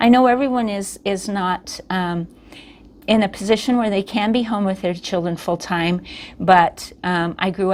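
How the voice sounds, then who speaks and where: A woman with an ordinary speaking voice talks at a moderate pace, medium in pitch with fairly even intonation. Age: 60s. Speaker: therapist. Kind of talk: educational talk. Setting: office.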